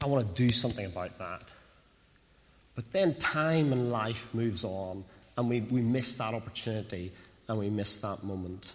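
A man speaks at a moderate pace with long, frequent pauses, and the room echo is audible. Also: medium pitch for a man, ordinary pitch variation. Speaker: preacher. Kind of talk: sermon.

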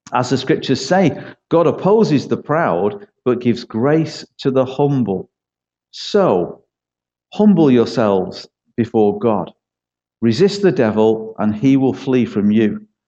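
In a Manchester accent, a man with a medium pitch and a dark, mellow tone speaks at a fairly slow pace, his pitch swinging very widely while his loudness stays very even. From East Manchester, England. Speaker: church pastor. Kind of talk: sermon. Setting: church.

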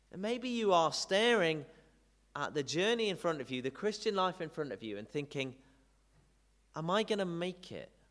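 This man talks at a moderate pace with a high-pitched voice. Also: long, frequent pauses. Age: 30s. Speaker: preacher. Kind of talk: sermon.

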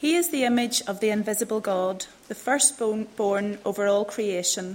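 An unremarkable speaking voice belongs to a woman with a fairly high pitch, ordinary pitch variation, and a fairly slow pace. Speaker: scripture reader. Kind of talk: reading aloud.

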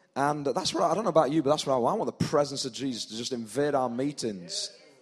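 A man with a fairly high pitch talks at a very fast pace over noticeable background noise. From northern England, South Yorkshire. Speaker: pastor. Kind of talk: sermon. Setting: church with live congregation.

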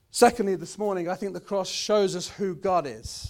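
With a British accent, a man speaks at a high pitch. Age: 30s. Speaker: pastor. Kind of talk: sermon. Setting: church. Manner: halting, many fillers.

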